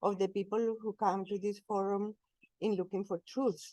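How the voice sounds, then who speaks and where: In a Colombian accent, a woman speaks at medium pitch with a dark, mellow tone and a dry, close sound with no echo. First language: Spanish. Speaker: spiritual speaker, cleric. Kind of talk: talk with slides. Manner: slow.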